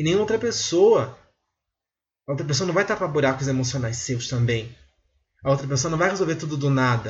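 A somewhat breathy voice with lively intonation moves at a fairly quick pace, broken by long, frequent pauses. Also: man, fairly high pitch for a man. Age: 20s. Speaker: podcast host. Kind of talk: solo monologue commentary. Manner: halting with many filler hesitations.

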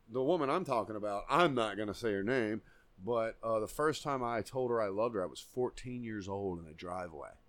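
A man speaks fairly quickly in a plain, everyday voice. His medium pitch carries lively intonation. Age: 30s. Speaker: podcast co-host. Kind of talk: casual chat.

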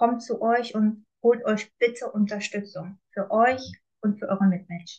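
In a calm, somewhat breathy tone, a woman reads at a fairly slow pace with a fairly high voice and fairly even intonation. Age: 20s. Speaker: coach. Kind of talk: personal testimony.

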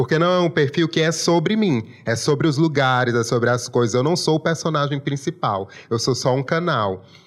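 A man with a strong Maranhão accent speaks at a moderate pace in a fairly high pitch, with ordinary pitch variation and very even loudness. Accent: strong local Maranhão. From Imperatriz, Maranhão, Brazil. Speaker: food influencer, journalist. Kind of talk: interview.

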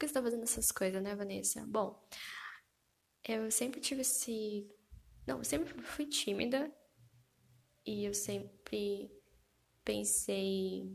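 A woman is speaking. Her pace is fairly slow. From Brazil. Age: 20s. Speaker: podcast host, physiotherapy student. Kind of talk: solo podcast introduction, casual monologue. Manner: animated, gesturing with hands; laughing often.

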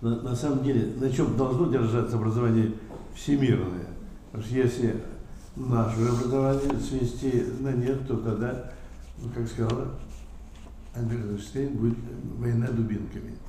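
A man talks in a monotone, flat intonation with long, frequent pauses, amid noticeable background noise and audible room echo. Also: medium pitch for a man, moderate pace. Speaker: Orthodox priest. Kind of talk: panel discussion.

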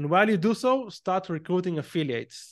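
A man talks at a fairly quick pace with an Israeli accent. The background is quiet. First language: Hebrew. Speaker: entrepreneur and growth marketer. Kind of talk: interview.

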